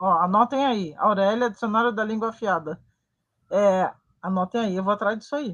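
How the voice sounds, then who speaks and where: A woman is speaking in a fairly high voice. The background is quiet. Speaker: web TV show host. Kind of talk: interview chat. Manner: animated.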